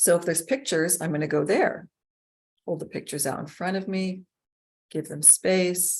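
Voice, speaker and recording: At a moderate pace, a woman with a fairly low pitch and ordinary pitch variation speaks with long, frequent pauses. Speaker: inquiry facilitator and trainer. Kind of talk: instructional talk.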